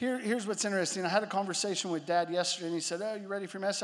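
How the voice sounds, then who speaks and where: The man talks at a very fast pace in a high pitch. Audible room echo surrounds his voice. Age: 30s. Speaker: pastor. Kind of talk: sermon.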